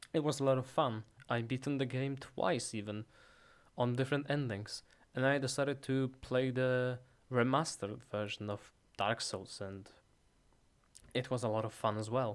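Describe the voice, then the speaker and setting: Long, frequent pauses break up the moderate pace and fairly even intonation on a very clean recording with a silent background. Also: man, medium pitch for a man. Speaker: ASMR artist. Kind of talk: ASMR soft-spoken talk about gaming. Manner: soft-spoken.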